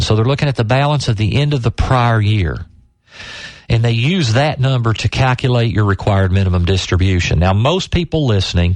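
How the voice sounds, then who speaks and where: A man with a plain, everyday voice at medium pitch, fairly quick in pace, with lively intonation and very even loudness. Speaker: financial advisor and radio show host. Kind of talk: radio financial tip segment. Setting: radio broadcast.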